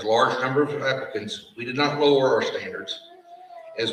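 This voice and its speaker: A man is speaking. There is audible room echo. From Appalachia. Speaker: fire science program director. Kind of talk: graduation ceremony speech. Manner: formal.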